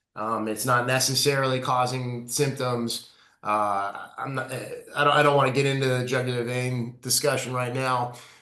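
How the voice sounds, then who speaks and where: Flat, monotone speech from a man at medium pitch, with audible room echo and noticeable background noise. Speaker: neurointerventional radiologist. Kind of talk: webinar talk. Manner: fast.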